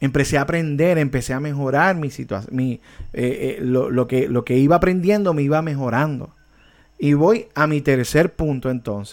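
With ordinary pitch variation, a man delivers his words at a moderate speed. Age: 40s. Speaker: worship ministry teacher. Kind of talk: online discipleship class. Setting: online video meeting. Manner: hesitant, many repetitions.

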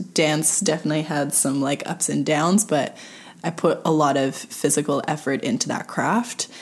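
Over noticeable background noise, the speaker talks at a moderate pace in a Montreal accent, with ordinary pitch variation. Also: woman. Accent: Montreal anglophone Canadian English. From Montreal, Quebec. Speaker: movement specialist. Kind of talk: casual chat.

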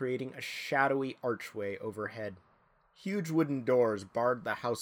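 The speaker does plain reading aloud. Nothing more is added to the delivery.

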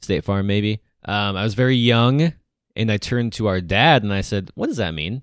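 On a very clean recording with a silent background, a man uses a normal speaking voice at a fairly low pitch, with ordinary pitch variation and a moderate pace. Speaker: podcast host. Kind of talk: casual chat.

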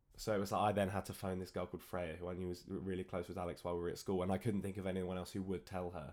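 A man rushes at a very fast pace in a very deep, low pitch with monotone, flat intonation. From Cornwall, England. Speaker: podcast host. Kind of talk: scripted narration; casual chat.

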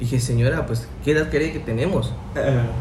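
Here a man speaks with audible room echo. Noticeable background noise runs underneath. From Mexico, Chiapas (Tuxtla Gutiérrez). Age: 20s. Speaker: teacher. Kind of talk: casual chat.

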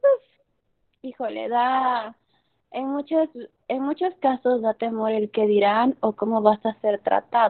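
Speaking at a very slow pace with long, frequent pauses, a woman keeps a fairly high pitch and ordinary pitch variation. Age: 20s. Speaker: podcast guest. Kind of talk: interview.

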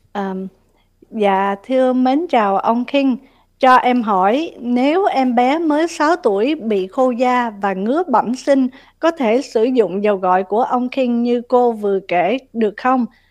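Her pitch is high and her intonation lively. The woman speaks at a very slow pace. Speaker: radio co-host. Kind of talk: casual chat.

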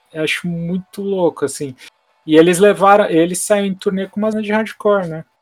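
A man's high-pitched voice with fairly even intonation, dry and close with no echo, over music in the background. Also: moderate pace. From Santos, São Paulo state, Brazil. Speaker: hardcore guitarist and label owner. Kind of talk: casual interview.

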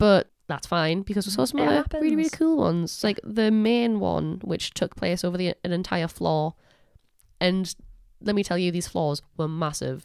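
With a Geordie accent, a woman sounds enthusiastic at a fairly low pitch. Her intonation is lively and her pace moderate. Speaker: podcast co-host. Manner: chatty, enthusiastic.

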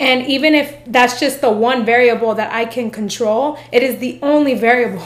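A high-pitched woman speaks amid audible room echo. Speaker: podcast host. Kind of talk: motivational monologue. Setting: filming video. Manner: animated.

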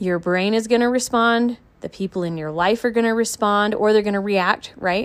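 A woman uses an ordinary speaking voice, talking at a fairly quick pace with ordinary pitch variation. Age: 30s. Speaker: podcast host and trauma coach. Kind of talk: solo podcast monologue. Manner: casual, conversational.

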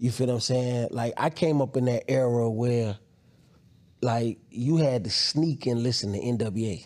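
An ordinary speaking voice at a moderate pace, with very even loudness, fairly even intonation and a very clean recording over a silent background. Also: man, medium pitch for a man. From Newark, New Jersey; raised in North Carolina. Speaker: rapper and media show host. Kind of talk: casual interview.

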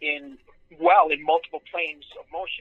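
A man at a fairly high pitch and a moderate pace. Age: 40s. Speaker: strength and fitness coach. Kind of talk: casual chat.

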